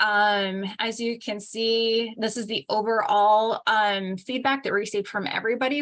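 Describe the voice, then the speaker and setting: Her fairly high pitch holds a fairly even intonation as this woman talks at a moderate pace. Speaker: agency staff presenter. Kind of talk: public board meeting presentation. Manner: hesitant, many fillers.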